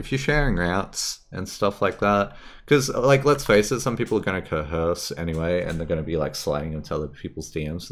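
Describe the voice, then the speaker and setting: The speaker has an Australian accent and a fairly quick pace. The pitch swings are very wide. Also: man. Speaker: gaming streamer. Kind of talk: live stream commentary. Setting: live stream. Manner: casual, animated.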